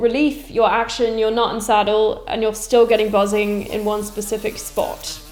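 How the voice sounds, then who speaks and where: A woman speaks at a fairly high pitch. Noticeable noise sits in the background. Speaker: guitar setup teacher. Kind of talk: tutorial talk to camera. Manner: casual, reassuring.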